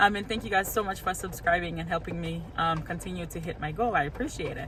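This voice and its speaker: A woman with a Haitian accent and lively intonation, amid noticeable background noise. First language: Haitian Creole. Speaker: couponing vlogger. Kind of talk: casual vlog.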